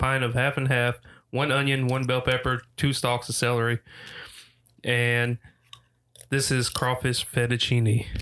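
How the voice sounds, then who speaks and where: A man talks at a medium pitch in a bright, sharp tone. His intonation stays monotone and flat on a very clean recording with a silent background. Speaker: podcast co-host. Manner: monotone, plain delivery.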